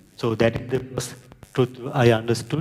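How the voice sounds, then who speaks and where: At a moderate pace, a man speaks with a Sri Lankan accent and fairly even intonation. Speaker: project manager and scrum master. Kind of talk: conference talk.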